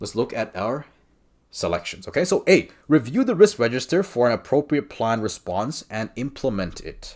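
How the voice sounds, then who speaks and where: The voice has a non-native accent and vocal fry at a moderate pace. Its pitch swings very widely and its loudness shifts greatly against a quiet background. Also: man, medium pitch for a man. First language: not English. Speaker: exam prep coach. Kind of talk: tutorial. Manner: casual, conversational with fillers. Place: home room. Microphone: webcam.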